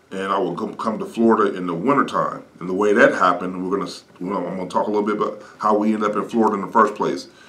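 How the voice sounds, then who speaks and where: A man's fairly low voice with an American accent, at a very fast pace with hardly any pauses and fairly even intonation. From Ohio. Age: 50s. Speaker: evangelist pastor. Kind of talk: ministry update talk. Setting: studio. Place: studio.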